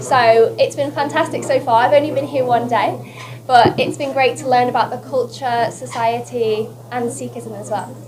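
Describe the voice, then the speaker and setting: Music plays in the background as a woman talks at a moderate pace amid audible room echo. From northern England, West Lancashire. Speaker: beauty queen. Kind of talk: press conference interview. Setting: press conference. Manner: animated.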